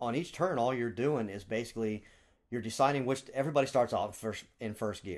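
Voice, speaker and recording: A man with a normal speaking voice talks at medium pitch and a fairly quick pace, using ordinary pitch variation. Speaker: board game podcast host. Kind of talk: casual chat.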